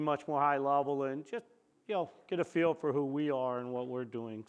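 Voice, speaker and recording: The speaker keeps a moderate pace with ordinary pitch variation over a quiet background. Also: man. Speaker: company CEO giving keynote. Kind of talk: conference presentation. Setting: conference room with audience. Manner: loud; casual, conversational.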